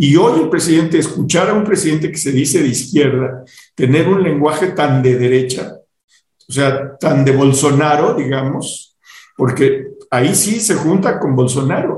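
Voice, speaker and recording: At a fairly slow pace, a man speaks at a fairly high pitch in a somewhat breathy voice, his pitch varying in an ordinary way amid audible room echo. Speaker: podcast host. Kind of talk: casual chat. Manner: halting.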